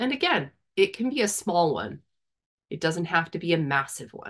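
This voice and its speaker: Against a quiet background, a woman speaks in a gentle tone at a fairly low pitch. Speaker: meditation guide. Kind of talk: guided meditation. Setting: video call. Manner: gentle, inviting, unhurried, with long pauses. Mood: calm, soft, soothing. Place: home room. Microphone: video call.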